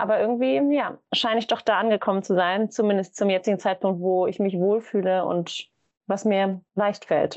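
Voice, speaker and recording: A woman speaks at a moderate pace in a medium pitch. Hers is an unremarkable speaking voice with fairly even intonation. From Germany, Hamburg. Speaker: events manager. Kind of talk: casual interview.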